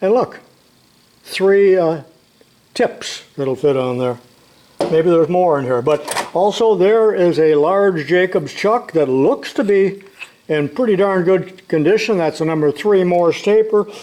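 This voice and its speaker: Noticeable background noise sits behind a man speaking high and fairly slowly, with lively intonation and a relaxed tone. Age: 80s+. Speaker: retired shop teacher, tool video maker. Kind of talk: casual tutorial. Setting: home workshop. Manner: relaxed, folksy.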